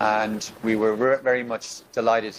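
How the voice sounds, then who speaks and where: This is a man with an Irish accent. His pitch sits fairly low. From Ireland. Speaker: election observation mission leader. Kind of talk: formal meeting address. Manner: formal, with frequent hesitations.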